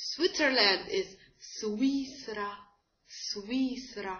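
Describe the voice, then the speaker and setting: A woman speaks with an Arabic accent. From Egypt. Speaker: language teacher. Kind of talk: tutorial. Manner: halting, many fillers. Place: home room. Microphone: webcam.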